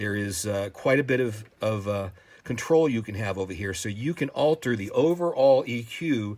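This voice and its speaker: The recording is very clean, with a silent background. A man of medium pitch speaks with ordinary pitch variation. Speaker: synthesizer tutorial video creator. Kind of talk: tutorial. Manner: fast; hesitant, many fillers.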